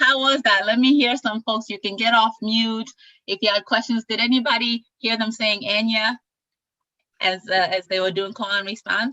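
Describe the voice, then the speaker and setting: A woman with a bright, sharp tone and fairly high pitch speaks at a moderate pace with ordinary pitch variation, in a dry, close sound with no echo. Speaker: event host. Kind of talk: live virtual event presentation.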